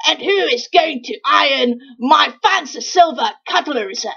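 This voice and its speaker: A high-pitched, cartoonish character voice. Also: moderate pace. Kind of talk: comic overacting. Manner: frantic, whiny, desperate.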